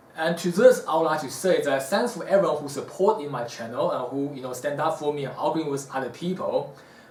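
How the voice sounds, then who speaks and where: A man's fairly high voice, with audible room echo and noticeable background noise. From South Africa. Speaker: martial arts teacher. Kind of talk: Q&A talk to camera. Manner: casual, hesitant fillers.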